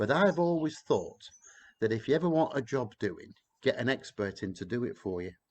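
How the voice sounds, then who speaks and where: Speaking at a moderate pace, a man uses a medium pitch with very wide pitch swings. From northern England, Blackburn, Lancashire. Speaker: tour guide. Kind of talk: casual live-stream chat. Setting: outdoors in back garden.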